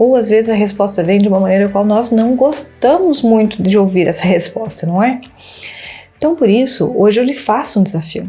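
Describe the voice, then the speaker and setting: Against music in the background, a woman speaks at a moderate pace and fairly high pitch, with ordinary pitch variation and very even loudness. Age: 30s. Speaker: church women's group member. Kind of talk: testimony.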